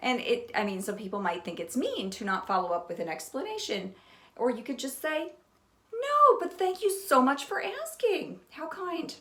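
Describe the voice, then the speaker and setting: Noticeable background noise surrounds a woman with an American accent whose high pitch moves in very wide pitch swings. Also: moderate pace. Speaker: potter and pottery vlogger. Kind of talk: casual talk to camera.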